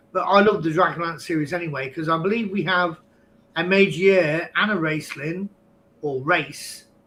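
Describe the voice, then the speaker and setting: A man with an English accent talks at a fairly slow pace in a fairly high pitch. His tone is bright and sharp, with ordinary pitch variation. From England. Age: 50s. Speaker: podcast guest, online game player. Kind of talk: casual chat.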